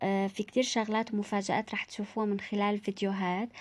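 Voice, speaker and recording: A woman with an Aleppo accent speaks at a fairly quick pace in a medium pitch, her intonation flat and monotone. The recording is very clean, with a silent background. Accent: Syrian Arabic, Aleppo. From Syria, Aleppo. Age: 20s. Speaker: vlogger. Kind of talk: casual vlog introduction. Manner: halting, many fillers.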